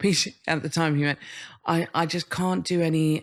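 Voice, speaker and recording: Speaking with an English accent, a woman with a very deep, low pitch keeps a moderate pace and fairly even intonation in a very clean recording with a silent background. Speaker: comedian and writer on social media. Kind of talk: casual chat interview. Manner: halting, repetitive.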